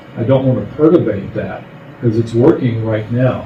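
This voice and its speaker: The intonation stays fairly even. There is audible room echo and noticeable background noise. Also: man. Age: 80s+. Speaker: clerk position applicant. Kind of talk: job interview at public meeting. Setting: county commissioners meeting.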